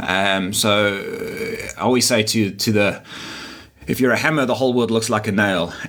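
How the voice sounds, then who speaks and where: Over noticeable background noise, a man with a medium pitch speaks at a very even loudness. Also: fairly even intonation, moderate pace. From South Africa, Durban. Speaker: digital marketer and sports event organiser. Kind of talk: interview.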